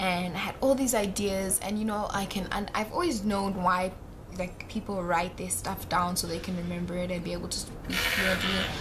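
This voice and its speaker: A woman talks at a moderate pace with fairly even intonation. Noticeable background noise and audible room echo surround her. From South Africa, Johannesburg. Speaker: vlogger. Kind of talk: casual vlog monologue. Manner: rambling, hesitant with fillers.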